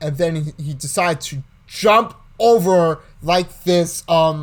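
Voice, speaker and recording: Speaking very slowly, a man with a high voice uses ordinary pitch variation. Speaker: vlogger. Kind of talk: casual vlog recap. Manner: halting.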